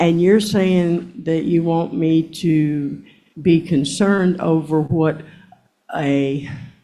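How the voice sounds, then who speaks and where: A woman's very deep, low voice, dark and mellow in tone, with audible room echo. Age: 60s. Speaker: court witness. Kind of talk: court testimony. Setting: courtroom. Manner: defensive.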